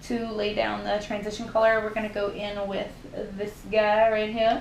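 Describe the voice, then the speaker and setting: A woman with a Southern US accent talks fairly quickly at a fairly high pitch, with audible room echo and noticeable background noise. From US South. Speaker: beauty YouTuber. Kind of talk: makeup tutorial; casual chat. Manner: casual, chatty.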